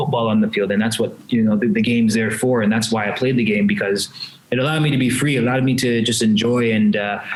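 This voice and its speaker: A man with a medium pitch speaks very fast, with very even loudness and fairly even intonation. Audible room echo and noticeable background noise surround him. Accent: Canadian. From Canada. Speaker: retired footballer, club president. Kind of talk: casual interview chat. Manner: halting, many repetitions.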